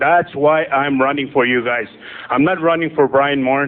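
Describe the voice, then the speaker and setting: A man's fairly high voice against noticeable background noise. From northern Saskatchewan, Canada. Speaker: political candidate. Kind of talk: campaign speech.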